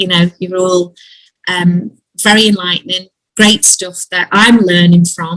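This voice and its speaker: A woman with a Liverpool accent speaks at medium pitch and a fairly slow pace in a monotone, flat intonation, the sound dry and close with no echo. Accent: Scouse. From Liverpool, England. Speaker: Zoom call participant, band member. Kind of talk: casual group video call. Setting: video call. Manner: halting, many fillers.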